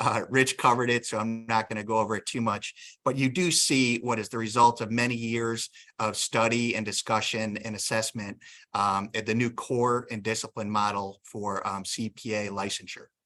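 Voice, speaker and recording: On a very clean recording with a silent background, a man with a Northeastern US accent speaks in a bright, sharp, medium-pitched voice with monotone, flat intonation. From Northeastern Pennsylvania. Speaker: state licensing board executive director, attorney. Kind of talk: workshop presentation. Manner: tends to talk fast; frequent filler ums.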